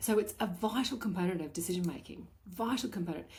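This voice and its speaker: At a fairly quick pace, a woman with a medium pitch speaks with vocal fry and ordinary pitch variation. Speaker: podcast host, balance coach for working women. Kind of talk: solo podcast monologue. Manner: animated, repetitive emphasis.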